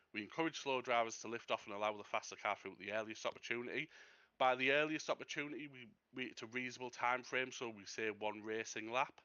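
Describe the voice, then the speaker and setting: In a British accent, a man talks at a very fast pace. His medium-pitched voice keeps a fairly even intonation. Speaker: race steward. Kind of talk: race briefing.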